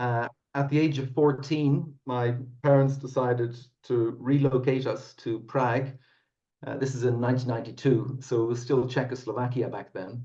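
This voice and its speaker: A man talks at a moderate pace with a somewhat breathy voice. His intonation stays monotone and flat. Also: medium pitch for a man. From Ireland, Dublin. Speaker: whiskey company founder. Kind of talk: podcast interview.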